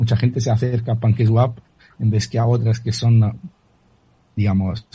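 Somewhat breathy delivery in a dark, mellow tone, fairly quick in pace and monotone, flat in intonation. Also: man. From Italy. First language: Italian (speaking Spanish). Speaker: crypto author and analyst. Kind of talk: radio interview. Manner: halting, with many repetitions.

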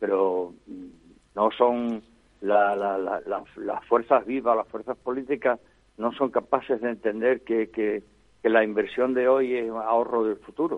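In an ordinary speaking voice, a man talks fairly slowly at a medium pitch, his intonation fairly even. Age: 60s. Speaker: foundation founder. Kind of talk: interview.

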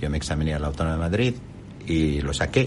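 Speaking at a fairly quick pace, a man is heard over noticeable background noise. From Jordan. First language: Arabic (speaking Spanish). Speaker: company executive. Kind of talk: interview. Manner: halting.

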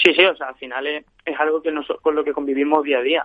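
A man with a fairly high pitch speaks at a fairly quick pace in a monotone, flat intonation. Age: 20s. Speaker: padel player. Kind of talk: interview.

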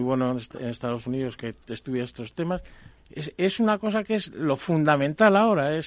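A man with a plain, everyday voice talks at a moderate pace with lively intonation. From Spain, Palencia (Castile). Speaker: water engineering expert. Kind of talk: radio panel discussion.

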